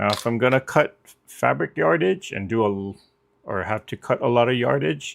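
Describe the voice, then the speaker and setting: The pace is moderate. The pitch swings very widely. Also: man, medium pitch for a man. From Hawaii. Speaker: quilting livestream host. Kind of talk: casual chat.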